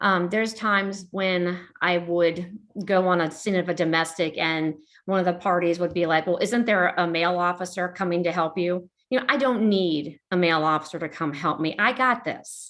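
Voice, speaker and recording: A woman talks at a moderate pace with fairly low pitch and ordinary pitch variation. The background is quiet. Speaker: police officer. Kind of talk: interview. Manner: casual, hesitant with fillers.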